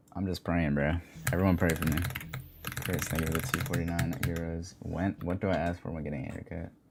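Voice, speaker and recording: Over noticeable background noise, a man with a very deep, low voice talks at a fairly quick pace. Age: 20s. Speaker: gaming streamer. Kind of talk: live stream chat. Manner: monotone; casual.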